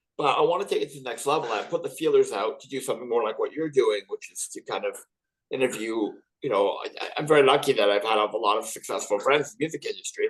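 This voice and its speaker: A man talking at a very fast pace, with big swings in loudness. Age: 50s. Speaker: rock drummer. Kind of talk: casual interview.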